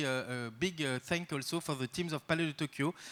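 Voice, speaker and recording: A man with a French accent speaks at a moderate pace in a fairly high pitch. His tone is bright and sharp, on a very clean recording with a silent background. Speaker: art institution director. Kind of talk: welcome speech. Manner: halting, many fillers.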